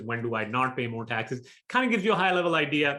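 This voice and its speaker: Against a quiet background, a man talks at a very fast pace with a fairly high pitch, lively intonation and a bright, sharp tone. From Pakistan. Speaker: real estate investor. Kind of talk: webinar presentation.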